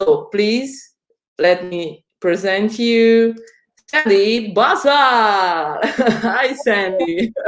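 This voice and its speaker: The voice has an Italian accent. The pace is very slow. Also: woman, fairly high pitch for a woman, ordinary pitch variation. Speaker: education community host. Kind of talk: video call interview.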